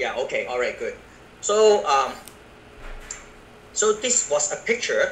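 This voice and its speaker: Noticeable background noise sits behind the voice. A man talks at a fairly slow pace with long, frequent pauses. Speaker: network marketing business presenter. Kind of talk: business presentation. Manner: halting.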